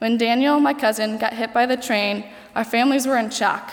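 A woman with a Midwestern American accent talks at a very fast pace and fairly high pitch, her intonation fairly even, with noticeable background noise. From Ohio, US. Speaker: college senior, nursing student. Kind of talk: speech.

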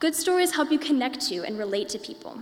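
With a Midwestern American accent, a woman speaks at a very fast pace against noticeable background noise. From Indiana, US. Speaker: college student. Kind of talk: prepared talk.

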